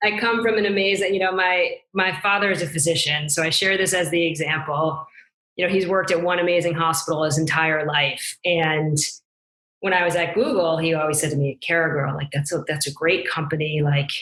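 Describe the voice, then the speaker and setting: A woman talks fairly quickly in an unremarkable speaking voice, her pitch fairly low, her intonation fairly even and her loudness very even. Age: 40s. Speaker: business executive. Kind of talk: interview.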